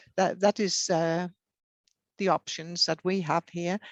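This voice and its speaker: Recorded dry and close with no echo, a woman with a Danish accent talks in a fairly low pitch with fairly even intonation. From Denmark. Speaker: hard of hearing advocate. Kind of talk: interview. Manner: hesitant, many fillers.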